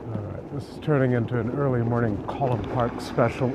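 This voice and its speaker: A man talks at a medium pitch. There is audible room echo and noticeable background noise. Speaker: travel vlogger. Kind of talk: walking tour vlog. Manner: whispering.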